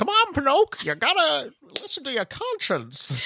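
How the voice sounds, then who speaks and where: A put-on character voice, high-pitched, at a moderate pace. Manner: cartoonish.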